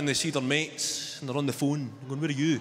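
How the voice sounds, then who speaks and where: A man speaks at a very fast pace in a Glaswegian accent. Light background noise sits behind him. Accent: Glaswegian Scottish. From Glasgow, Scotland. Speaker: stand-up comedian. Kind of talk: live stand-up comedy set. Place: stage. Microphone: handheld.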